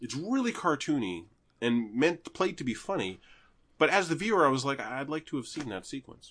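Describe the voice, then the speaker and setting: Over a quiet background, a man with a Canadian accent speaks at a moderate pace in a fairly high pitch, with vocal fry and very wide pitch swings. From Canada. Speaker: podcast host. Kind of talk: casual chat.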